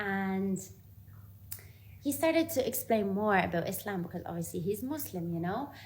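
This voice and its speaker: A somewhat breathy woman speaks at a moderate pace and medium pitch, her pitch swinging very widely, with long, frequent pauses and audible room echo. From Ireland. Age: 20s. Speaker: vlogger. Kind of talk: personal testimony. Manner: casual.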